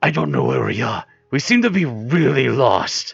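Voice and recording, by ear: Putting on a gruff character voice, a man speaks at medium pitch and a moderate pace.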